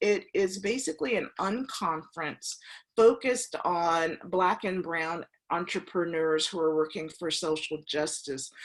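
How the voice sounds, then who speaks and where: A woman's fairly low, unremarkable speaking voice at a fairly slow pace, with ordinary pitch variation and a quiet background. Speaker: meetup organizer. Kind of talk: online event introduction.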